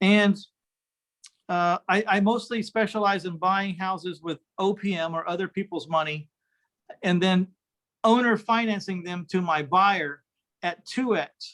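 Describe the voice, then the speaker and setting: A man with a Texan accent, high in pitch with ordinary pitch variation, at a fairly slow pace. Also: dry, close sound with no echo. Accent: Texan American. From Texas, San Antonio. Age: 60s. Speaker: real estate investor. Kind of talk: interview.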